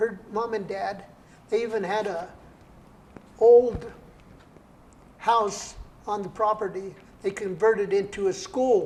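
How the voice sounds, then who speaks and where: With an American accent, a man speaks fairly slowly at a high pitch, with fairly even intonation and long, frequent pauses. Audible room echo and noticeable background noise are present. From Colorado, Brighton area. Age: 80s+. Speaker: poet and entrepreneur. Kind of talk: interview.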